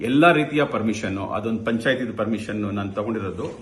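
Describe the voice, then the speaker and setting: The speaker is a man with a fairly low pitch and ordinary pitch variation. Audible room echo surrounds his voice. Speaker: senior civil servant. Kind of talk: press statement. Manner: halting.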